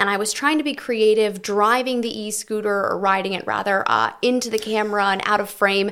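A woman talks at a fairly quick pace in a normal speaking voice, fairly high-pitched, with fairly even intonation and hardly any pauses. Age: 20s. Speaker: TV news reporter. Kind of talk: casual chat.

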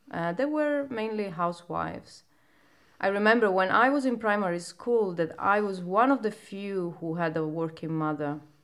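A woman speaks in a Sicilian accent. Her voice sits at medium pitch. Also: lively intonation, moderate pace. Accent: Italian (Sicilian). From Sicily, Italy (province of Palermo). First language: Italian. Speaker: poet. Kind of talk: casual chat.

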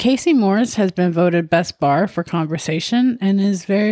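A woman speaks in a plain, everyday voice, pitched fairly low, at a moderate pace. Her intonation is lively, and the sound is dry and close with no echo. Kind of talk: ghost story telling, told as a casual narrated account. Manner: chatty, upbeat, laughing.

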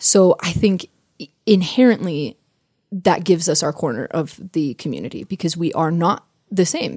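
A woman with an ordinary speaking voice, fairly low pitch, ordinary pitch variation and moderate pace, in a dry, close sound with no echo. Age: 20s. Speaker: professional performer. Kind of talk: casual chat.

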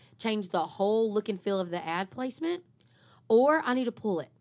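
A woman's animated, very fast delivery with ordinary pitch variation, on a very clean recording with a silent background. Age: 40s. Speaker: marketing podcast co-host. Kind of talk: casual chat.

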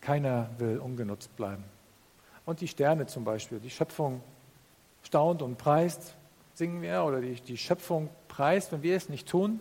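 Somewhat breathy, a man talks at a fairly slow pace, broken by long, frequent pauses. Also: fairly high pitch for a man, lively intonation. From northern Germany. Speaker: pastor. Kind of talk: sermon.

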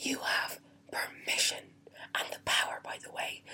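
A whisper at a moderate pace, over noticeable background noise. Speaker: motivational vlogger. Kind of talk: motivational talk. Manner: whispering.

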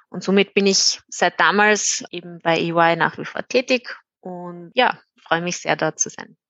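A woman with an unremarkable speaking voice talks at a fairly slow pace, her fairly low pitch held in fairly even intonation while her loudness swings widely. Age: 20s. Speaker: IT consultant. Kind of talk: interview.

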